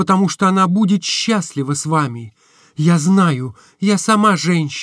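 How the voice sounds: The clip has a natural reading voice. Its pitch variation is ordinary.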